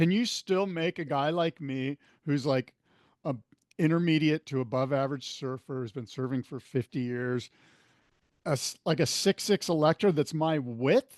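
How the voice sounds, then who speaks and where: A man with a plain, everyday voice talks at a moderate pace and a fairly high pitch, showing ordinary pitch variation. The sound is dry and close with no echo, over a quiet background. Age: 60s. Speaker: podcast host. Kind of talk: podcast interview.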